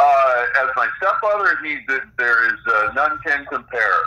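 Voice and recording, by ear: With a bright, sharp tone, a man speaks at a fairly slow pace. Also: medium pitch for a man, lively intonation.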